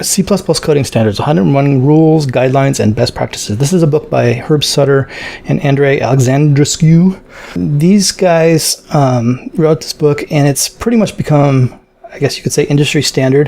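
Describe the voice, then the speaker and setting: Noticeable background noise sits behind a man speaking at a moderate pace. His fairly high pitch has ordinary pitch variation. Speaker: programming tutorial creator. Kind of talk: tutorial. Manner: hesitant, many fillers.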